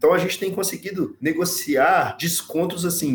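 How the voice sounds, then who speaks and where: Over noticeable background noise, a man's voice sits at a high pitch. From Brazil, Minas Gerais. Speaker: energy company sales director. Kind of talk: podcast interview.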